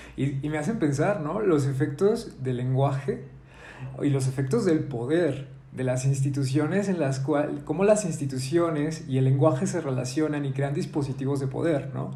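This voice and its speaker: Amid audible room echo, a man with a fairly high pitch talks at a moderate pace with ordinary pitch variation. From Mexico, Zacatecas. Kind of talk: casual discussion. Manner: halting.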